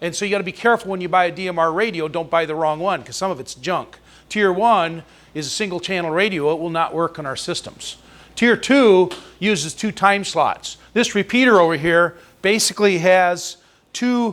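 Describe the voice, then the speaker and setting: A loud man with a high pitch talks at a moderate pace with ordinary pitch variation. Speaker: amateur radio presenter. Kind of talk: presentation.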